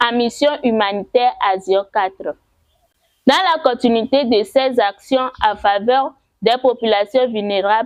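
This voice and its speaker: A very slow pace with ordinary pitch variation. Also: woman. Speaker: web presenter and voice-over artist. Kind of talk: weekend news bulletin presenting.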